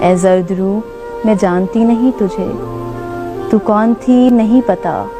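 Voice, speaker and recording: A woman's fairly high pitch and very even loudness, with music in the background. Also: ordinary pitch variation. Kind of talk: poetry reading.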